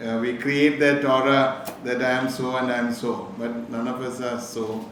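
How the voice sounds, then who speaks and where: With a Keralan accent, a man talks in a flat monotone at medium pitch, with noticeable background noise and audible room echo. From Kerala, India (Calicut). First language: Malayalam. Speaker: businessman, motivational speaker. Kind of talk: inspirational talk to students.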